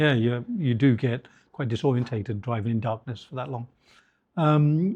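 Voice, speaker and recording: In a British accent, a man speaks at medium pitch and a moderate pace, somewhat breathy, with ordinary pitch variation. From England. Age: 60s. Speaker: headhunter and business founder. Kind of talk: interview conversation.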